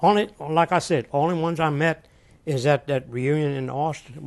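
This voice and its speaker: A man's fairly high voice in a Southern Louisiana accent, with ordinary pitch variation. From US South (Louisiana). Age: 80s+. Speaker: war veteran. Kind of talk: oral history interview. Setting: hotel in Houston, Texas. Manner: halting.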